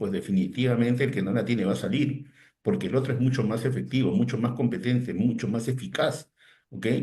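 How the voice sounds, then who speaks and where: Here a man has a somewhat breathy voice at a medium pitch. Audible room echo surrounds him. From Peru, Lima. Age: 60s. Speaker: digital teacher, technology consultant. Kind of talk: interview. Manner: hesitant repetitions.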